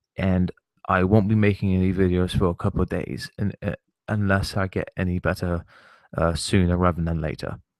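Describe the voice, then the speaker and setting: A man speaks quietly at a moderate pace in a very deep, low voice, the sound dry and close with no echo. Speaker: gaming and wrestling vlogger. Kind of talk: rant to camera. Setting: online broadcast, off camera.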